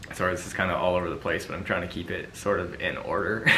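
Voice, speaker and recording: With a Canadian accent, a man speaks at a fairly low pitch with fairly even intonation. Audible room echo and noticeable background noise fill the recording. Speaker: pageant commentator, YouTuber's partner. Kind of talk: casual vlog monologue. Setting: sitting in front of a camera. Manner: monotone; halting, many fillers.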